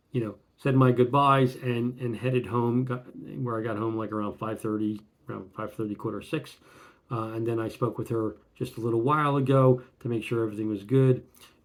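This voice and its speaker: Talking at a fairly quick clip, a man keeps a medium pitch and fairly even intonation. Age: 60s. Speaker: retirement vlogger. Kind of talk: casual vlog monologue. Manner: halting, many fillers.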